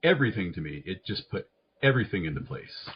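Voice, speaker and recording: A man's voice with vocal fry and very wide pitch swings, at a fairly quick pace. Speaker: psychiatric nurse practitioner. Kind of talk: interview conversation. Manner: fast.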